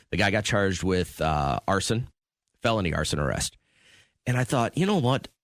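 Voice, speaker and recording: A man with a fairly low voice speaks at a moderate pace with lively intonation, very even loudness and long, frequent pauses, in a very clean, silent-background recording that is dry and close with no echo. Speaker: radio show co-host. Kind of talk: radio morning show talk. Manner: casual, conversational.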